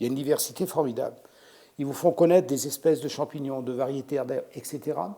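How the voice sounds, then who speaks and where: Recorded very cleanly over a silent background, a man speaks with a dark, mellow tone at a fairly high pitch. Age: 60s. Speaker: chef. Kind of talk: interview. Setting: restaurant salon.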